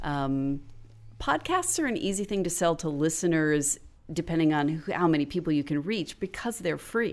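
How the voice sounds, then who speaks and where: A woman speaks at a moderate pace in a fairly low pitch with ordinary pitch variation, a plain, everyday voice. The recording is very clean, with a silent background. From Florida. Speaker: podcast writer and educator. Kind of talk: casual interview chat.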